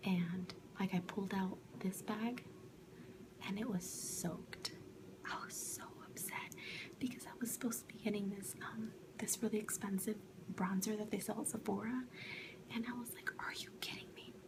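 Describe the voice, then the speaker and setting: Whispering and soft-spoken, a woman talks at a moderate pace with long, frequent pauses over noticeable background noise. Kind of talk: ASMR product review, whispered to camera. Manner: soft-spoken, whispering.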